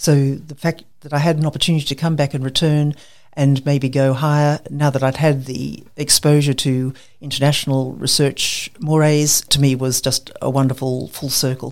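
In an Australian accent, a woman talks at a moderate pace with very deep, low pitch. Her intonation is monotone and flat. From Queensland, Australia. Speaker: medical researcher. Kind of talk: interview.

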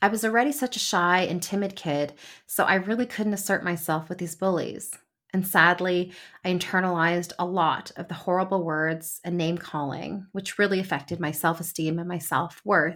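A woman with a Canadian accent speaks in a normal speaking voice at a moderate pace, with a fairly low pitch and fairly even intonation, on a very clean recording with a silent background. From Canada, Toronto suburbs. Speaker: podcast host and lawyer. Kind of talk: solo podcast monologue.

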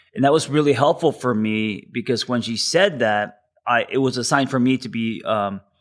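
On a very clean recording with a silent background, a man uses an ordinary speaking voice with ordinary pitch variation at a moderate pace. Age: 40s. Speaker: therapist. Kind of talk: interview.

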